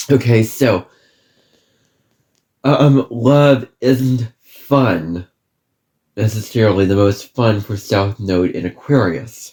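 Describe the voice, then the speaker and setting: Somewhat breathy, a man talks at medium pitch with a dark, mellow tone and ordinary pitch variation. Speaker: astrologer. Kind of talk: lecture. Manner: halting.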